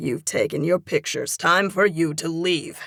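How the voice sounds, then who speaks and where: A woman in a put-on character voice sounds gruff and growling, at a fairly low pitch and a moderate pace. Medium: read story. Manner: gruff, commanding.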